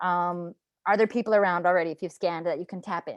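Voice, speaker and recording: A woman talks at a fairly quick pace, dry and close with no echo, against a quiet background. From Southwestern Ontario, Canada (French Metis community). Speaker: workshop facilitator. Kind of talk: workshop training. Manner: animated.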